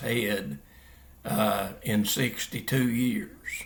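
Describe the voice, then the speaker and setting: Very slow speech from a man, with vocal fry, ordinary pitch variation and audible room echo. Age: 80s+. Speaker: Bible teacher. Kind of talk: religious teaching monologue. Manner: halting, many fillers.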